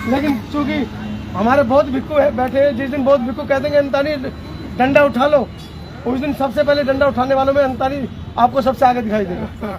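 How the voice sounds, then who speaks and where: A loud male voice at an extremely high pitch, with audible room echo and crowd noise in the background. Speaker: activist and media worker. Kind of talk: protest rally speech.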